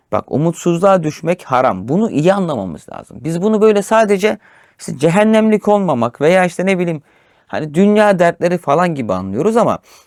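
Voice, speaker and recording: In a dry, close sound with no echo on a very clean recording with a silent background, a man with a high pitch talks at a moderate pace with lively intonation. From rural Turkey. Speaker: religious teacher. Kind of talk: religious discussion of Quran commentary.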